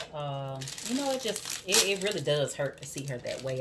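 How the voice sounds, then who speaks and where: A woman talks with a strong Southern US accent, in a very deep, low pitch with ordinary pitch variation. Noticeable background noise is present. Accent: thick southern accent, country twang. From US South, Georgia. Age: 40s. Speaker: soap maker and vlogger. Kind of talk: casual chat while working.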